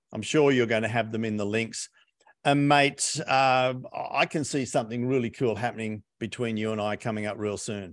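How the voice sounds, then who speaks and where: Against a quiet background, a man with an Australian accent speaks at a moderate pace with ordinary pitch variation. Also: medium pitch for a man. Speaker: business coach and author. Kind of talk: interview.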